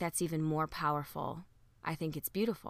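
On a very clean recording with a silent background, a woman with a bright, sharp tone speaks at a moderate pace with ordinary pitch variation. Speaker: podcast host. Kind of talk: solo podcast monologue. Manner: casual, reflective.

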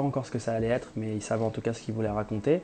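Music plays in the background as a man speaks. His medium-pitched voice moves at a very fast pace. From France, Metz. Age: 20s. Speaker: music artistic director. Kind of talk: interview.

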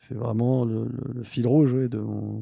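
A man speaks at a very slow pace in a medium pitch, his somewhat breathy voice dark and mellow in tone and monotone, flat in intonation. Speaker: social entrepreneur. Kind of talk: interview. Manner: halting, many repetitions.

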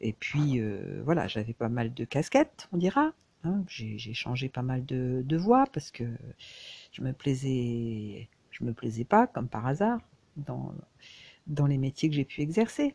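The voice moves very slowly with long, frequent pauses and lively intonation, its tone dark and mellow, the sound dry and close with no echo. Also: woman, very deep, low pitch for a woman. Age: 60s. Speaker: crafts vlogger. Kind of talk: personal reflection monologue. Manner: halting, many hesitations and repetitions.

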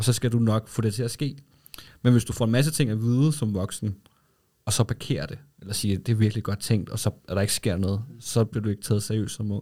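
A man talks at a fairly quick pace in a fairly low pitch, with a dark, mellow tone and ordinary pitch variation. The recording is very clean, with a silent background. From Denmark, Lolland. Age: 30s. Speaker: advertising agency co-founder. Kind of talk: casual interview. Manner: hesitant, many fillers.

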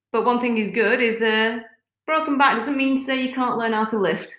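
A woman with a fairly high pitch speaks with fairly even intonation and long, frequent pauses. Audible room echo fills the recording. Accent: British. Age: 40s. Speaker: fitness coach and former police officer. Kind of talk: casual chat.

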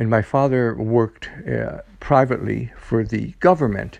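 A plain, everyday voice from a man with an American accent, medium in pitch, at a fairly slow pace. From upstate New York (Utica). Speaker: fitness professional. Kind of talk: personal storytelling monologue.

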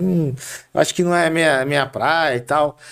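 Moderately paced speech from a man in a plain, everyday voice, fairly high in pitch. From Brazil, Carapicuíba (São Paulo state). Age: 40s. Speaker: city councillor. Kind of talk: interview.

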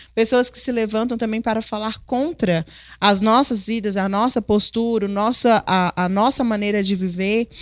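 A woman has an unremarkable speaking voice at a fairly high pitch. She talks at a fairly slow pace with fairly even intonation in a very clean recording with a silent background. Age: 30s. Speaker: host's wife, mother. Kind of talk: Bible study conversation.

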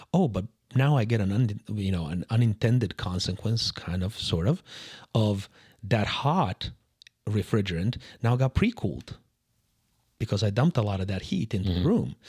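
Pausing long and often, a man talks at a fairly low pitch with a somewhat breathy voice. The sound is dry and close with no echo, on a very clean recording with a silent background. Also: ordinary pitch variation, moderate pace. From Serbia. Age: 40s. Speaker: HVAC expert. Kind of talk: casual interview.

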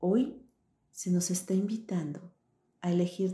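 Dark and mellow, the voice has a warm, soothing tone and moves at a very slow pace. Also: woman. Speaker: meditation guide and coach. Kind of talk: guided meditation. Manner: slow, soothing, gentle, calm; warm, encouraging, intimate.

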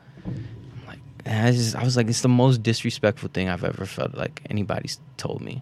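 A man with a plain, everyday voice talks at a medium pitch and a fairly quick pace, with fairly even intonation and big swings in loudness. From Baku, Azerbaijan; raised in Florida. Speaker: comedian. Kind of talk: casual chat.

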